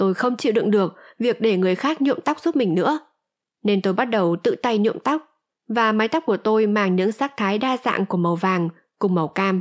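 A woman with a normal speaking voice talks at a moderate pace with lively intonation and very even loudness. The recording is very clean, with a silent background. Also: fairly high pitch for a woman. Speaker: audiobook narrator. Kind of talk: reading aloud.

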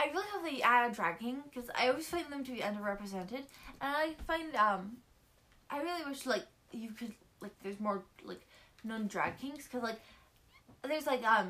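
Her voice high-pitched with a bright, sharp tone, a woman speaks fairly quickly with lively intonation and long, frequent pauses. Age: 20s. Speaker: podcast co-host. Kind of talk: casual chat.

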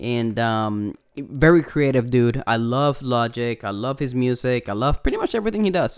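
The speaker talks at a moderate pace with a Puerto Rican accent. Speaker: podcast host. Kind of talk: casual chat. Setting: video call. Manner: filler-heavy, casual.

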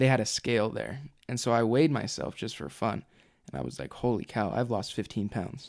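Fairly quick and lively in intonation, a man with an American accent and vocal fry speaks in a very clean recording with a silent background. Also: medium pitch for a man. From Utah. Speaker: nursing student, returned missionary. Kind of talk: casual interview, personal story.

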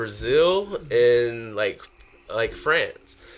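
With a Southern US accent, a man is speaking. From South Carolina. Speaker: hairline specialist and mobile DJ. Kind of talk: casual chat.

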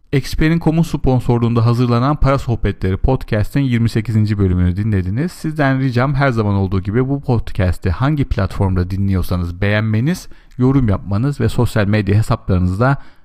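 A man's dark, mellow voice at medium pitch, very even in loudness, with lively intonation, a moderate pace and hardly any pauses. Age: 40s. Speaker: podcast host, money advisor. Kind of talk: solo monologue.

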